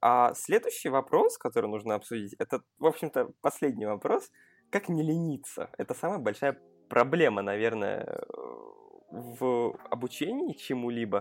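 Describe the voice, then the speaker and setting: A man's moderate-paced speech comes through with a dry, close sound and no echo. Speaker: podcast host. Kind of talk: casual chat.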